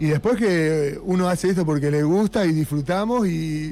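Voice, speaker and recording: A man in a normal speaking voice keeps a moderate pace, his fairly high pitch moving with ordinary variation. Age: 40s. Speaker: punk band musician. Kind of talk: radio interview. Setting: radio studio.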